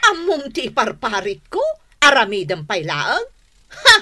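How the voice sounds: A woman puts on a character voice, pitched fairly high with a slightly husky edge. Her tone is bright and sharp, and her pitch swings very widely. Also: fairly slow pace.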